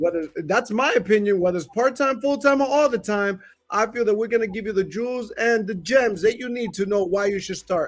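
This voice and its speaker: A loud, high-pitched man at a fairly quick pace, with ordinary pitch variation and hardly any pauses. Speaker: podcast host. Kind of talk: podcast intro.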